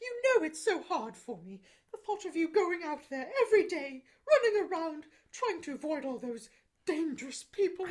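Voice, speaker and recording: A woman performs a put-on character voice at an extremely high pitch. Her pitch swings very widely and her loudness rises and falls sharply. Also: moderate pace. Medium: comedy sketch.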